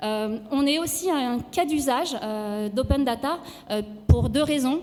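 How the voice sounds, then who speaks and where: A woman speaks at a high pitch with ordinary pitch variation. Noticeable background noise runs under her voice. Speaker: start-up founder. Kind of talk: sales pitch. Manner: halting, many fillers.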